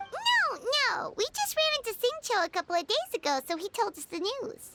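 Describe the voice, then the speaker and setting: A put-on character voice, squeaky and extremely high, speaks at a moderate pace. Faint music can be heard behind it. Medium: machinima. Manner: chatty, excitable.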